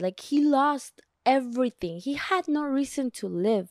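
Speaking at a fairly slow pace with a non-native accent and lively intonation, a woman comes through on a very clean recording with a silent background and a dry, close sound with no echo. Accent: non-native accent, mentions her. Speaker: self-help podcast host. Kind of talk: solo podcast monologue, book summary. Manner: casual, conversational with self-corrections.

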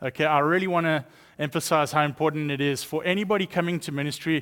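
With a South African accent, a man talks at a fairly high pitch and a fairly quick pace, his pitch variation ordinary. The recording is very clean, with a silent background. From East London, South Africa. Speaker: guest speaker, missions director. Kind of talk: sermon. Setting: church.

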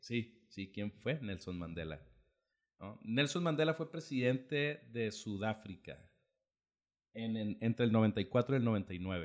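Lively intonation colors this man's medium-pitched voice. He speaks very slowly, with long pauses that come often. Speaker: podcast host. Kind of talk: casual chat.

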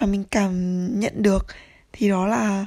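A somewhat breathy woman's voice at a fairly high pitch. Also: very clean recording, silent background. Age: 20s. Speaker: podcaster. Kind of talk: casual monologue.

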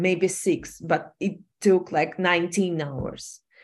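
A woman with a Ukrainian accent speaks at a fairly low pitch against a quiet background. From Ukraine. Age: 30s. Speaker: fashion designer and entrepreneur. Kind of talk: personal testimony in interview. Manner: halting.

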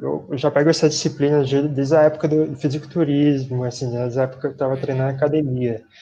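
A man's fairly high pitch with a dark, mellow tone and fairly even intonation. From São Paulo city, Brazil. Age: 20s. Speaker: physical education graduate, runner. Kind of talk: casual interview. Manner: halting.

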